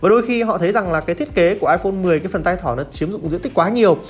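Music plays in the background as a man talks at a very fast pace with hardly any pauses. His pitch is high and his intonation is lively. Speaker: tech YouTuber and reviewer. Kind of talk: solo tech review monologue. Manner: concise, conversational.

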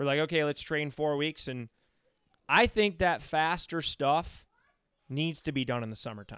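An ordinary speaking voice from a man, fairly high in pitch, at a moderate pace with ordinary pitch variation. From Michigan. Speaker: podcast host and running coach. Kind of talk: casual chat. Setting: studio.

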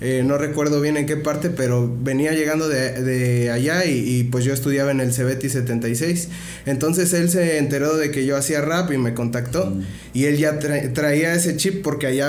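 Over noticeable background noise and audible room echo, a man talks at a moderate pace with fairly high pitch. His loudness stays very even and his intonation fairly even. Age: 20s. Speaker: rapper and freestyle event organizer. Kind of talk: casual interview. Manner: hesitant with fillers.

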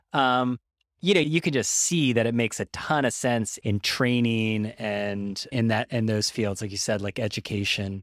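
At a moderate pace and with ordinary pitch variation, the voice sounds dry and close with no echo on a very clean recording against a silent background. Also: man, medium pitch for a man. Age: 40s. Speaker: podcast host. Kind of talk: interview. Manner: casual, halting.

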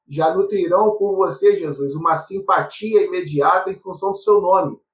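High pitch from a man, a moderate pace and ordinary pitch variation. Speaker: university professor, moderator. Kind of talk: webinar moderation.

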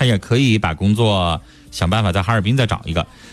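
Music in the background beneath a man's fairly low-pitched voice. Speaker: radio host. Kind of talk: call-in radio show. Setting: studio.

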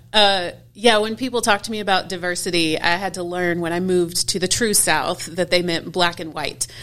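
A woman's fairly low voice with an American accent, an unremarkable speaking voice, fairly quick and fairly even in intonation. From Houston, Texas. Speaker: family ministry pastor. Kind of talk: interview conversation.

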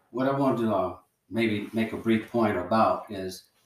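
In a normal speaking voice, a man with an American accent talks at a fairly low pitch with ordinary pitch variation. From US South. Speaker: retired military veteran. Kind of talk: casual chat.

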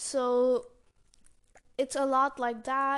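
Against a quiet background, a woman speaks very slowly with monotone, flat intonation. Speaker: podcast host. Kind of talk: solo podcast monologue. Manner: unscripted, somewhat hesitant with fillers.

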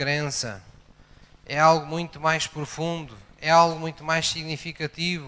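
At a moderate pace, a man speaks with a fairly high pitch and a bright, sharp tone. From Algarve, Portugal (Portimão). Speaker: pastor. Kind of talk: sermon.

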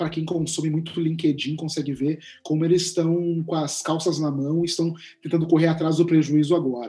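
At a fairly quick pace, a man speaks in a monotone, flat intonation with a dark, mellow tone. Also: fairly high pitch for a man. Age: 40s. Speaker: writer and content creator. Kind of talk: interview conversation.

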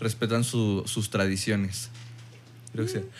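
A man with a Mexican accent. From Mexico. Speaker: podcast guest. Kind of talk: casual chat.

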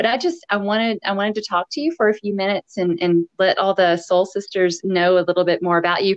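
Very fast speech in a Tennessee accent with hardly any pauses. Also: woman, medium pitch for a woman. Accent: Southern US (Tennessee). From US South. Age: 50s. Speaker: podcast host and running coach. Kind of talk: casual interview chat. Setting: remote call. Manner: animated.

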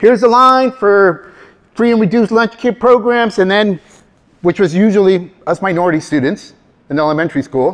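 With an animated tone and lively intonation, a high-pitched man speaks at a moderate pace. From California, US. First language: Spanish. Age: 50s. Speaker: motivational speaker and career trainer. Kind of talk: live talk to audience. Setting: stage with audience. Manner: animated, humorous.

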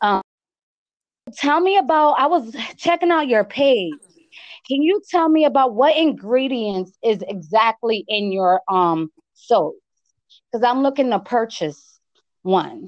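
A woman with an American accent, high pitch, very wide pitch swings, very even loudness, and long, frequent pauses, in a dry, close sound with no echo. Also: fairly slow pace. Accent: East Coast accent, compared to Cardi B. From US East Coast, Connecticut. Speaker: podcast host. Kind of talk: casual interview chat. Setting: remote call. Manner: animated.

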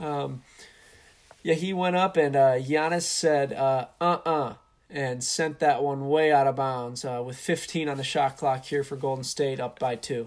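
This man has a normal speaking voice, pitched fairly high, and he talks at a fairly slow pace. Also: fairly even intonation. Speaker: sports commentator. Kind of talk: sports commentary, live play-by-play with color analysis.

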